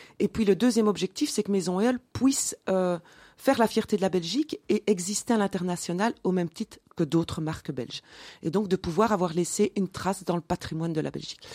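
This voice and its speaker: A dark, mellow tone moves at a fairly quick pace with ordinary pitch variation in a very clean recording with a silent background. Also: woman, medium pitch for a woman. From Belgium, Mons (Wallonia). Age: 40s. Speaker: entrepreneur. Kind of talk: interview.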